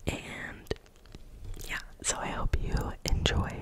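A woman whispers at a fairly slow pace. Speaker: ASMR creator. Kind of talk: casual talk to camera. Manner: whispered, soft-spoken. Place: home room. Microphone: studio mic.

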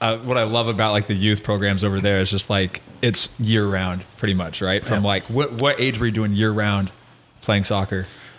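An unremarkable speaking voice in an American accent, at a moderate pace, with fairly even intonation and very even loudness. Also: man, fairly low pitch for a man. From United States. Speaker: podcast host. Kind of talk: casual chat. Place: home room. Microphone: studio mic.

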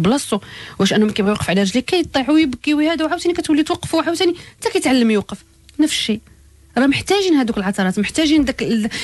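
Music plays in the background as a woman talks at a very fast pace. Her pitch makes very wide swings. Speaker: life coach. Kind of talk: radio advice show.

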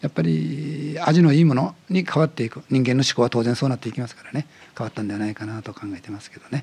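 Talking at a very fast pace, a man shows lively intonation and big swings in loudness. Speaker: museum director. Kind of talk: interview, explanatory talk. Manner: animated, talkative. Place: studio. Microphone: studio mic.

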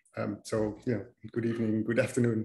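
The speaker is a man with a somewhat breathy voice. He talks at a fairly quick pace. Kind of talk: lecture. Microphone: video call.

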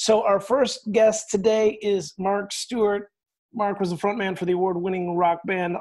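A man's voice with ordinary pitch variation, against a quiet background. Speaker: pastor and podcast host. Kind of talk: casual interview. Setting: video call. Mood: warm, friendly. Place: home room. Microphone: earbuds.

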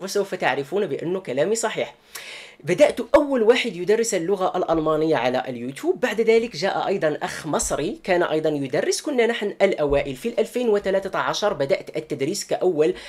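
A high-pitched man speaks at a moderate pace with hardly any pauses, against a quiet background. His pitch swings very widely. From Morocco, Marrakesh. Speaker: YouTuber and German news commentator. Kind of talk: personal statement to viewers. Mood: earnest, defensive explanation. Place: home room. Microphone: webcam.

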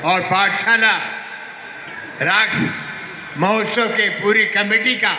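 A man speaks at a very slow pace in a raised, projected voice, his intonation fairly even. Audible room echo and light background noise surround him. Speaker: guest film actor. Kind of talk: stage speech. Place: stage.

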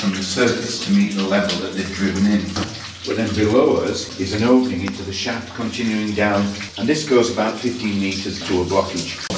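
A fairly low-pitched man at a fairly quick pace, with audible room echo and noticeable background noise. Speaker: mine guide. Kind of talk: guided tour explanation. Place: tunnel cave.

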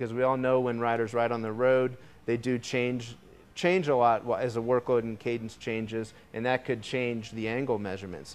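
With fairly even intonation, a man delivers his words at a moderate pace. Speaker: presenter. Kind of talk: product demo presentation. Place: studio. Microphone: lapel.

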